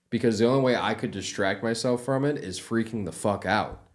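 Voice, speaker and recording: A man speaks at medium pitch and a moderate pace. His intonation is fairly even. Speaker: podcast co-host. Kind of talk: casual chat. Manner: halting speech, words spread out.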